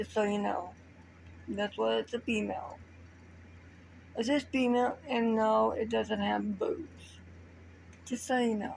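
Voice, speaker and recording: A soft-spoken woman talks at a fairly slow pace. She leaves long, frequent pauses. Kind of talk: improvised story told to camera. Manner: quiet, soft-spoken.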